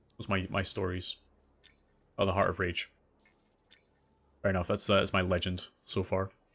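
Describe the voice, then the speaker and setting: A man with a Scottish accent speaks in a very deep, low, monotone, flat voice, taking long, frequent pauses in a very clean recording with a silent background. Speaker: gaming streamer. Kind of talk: live gameplay commentary. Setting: livestream. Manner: fast.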